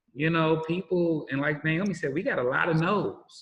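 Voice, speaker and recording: This man has a fairly high pitch and fairly even intonation, speaking at a moderate pace. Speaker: minister and social services official. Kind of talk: interview conversation. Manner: loud.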